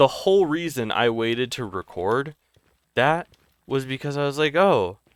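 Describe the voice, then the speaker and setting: A man speaks at a moderate pace with a fairly high pitch. His intonation is lively, and the sound is dry and close with no echo. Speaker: gaming YouTuber. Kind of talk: gameplay commentary. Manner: halting, self-correcting; casual, filler-heavy.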